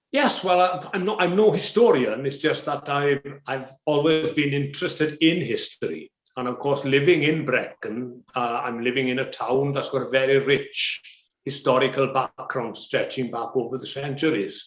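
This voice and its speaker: A man with a Welsh accent, fairly high-pitched, at a moderate pace with ordinary pitch variation. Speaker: volunteer translator. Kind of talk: interview.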